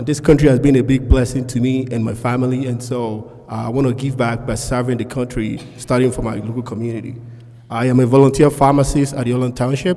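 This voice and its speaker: A man with a non-native accent talks very fast in a monotone, flat way. Noticeable background noise is present. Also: medium pitch for a man. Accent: noticeable foreign. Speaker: school board candidate, pharmacist. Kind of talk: candidate forum speech.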